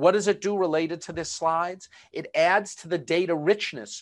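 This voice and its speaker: Someone with a Boston accent speaks at a moderate pace against a quiet background. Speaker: webinar presenter. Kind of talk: webinar presentation. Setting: online video webinar. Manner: filler-heavy, conversational.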